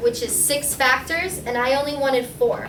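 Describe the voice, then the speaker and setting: Raising and projecting her high-pitched voice, a woman speaks at a moderate pace amid noticeable background noise and audible room echo. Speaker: math teacher. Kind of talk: tutorial.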